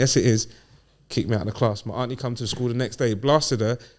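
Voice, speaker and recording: On a very clean recording with a silent background, a man speaks at a very fast pace in a medium pitch. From London, England (Ghanaian heritage). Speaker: podcast guest. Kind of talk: casual chat. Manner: animated.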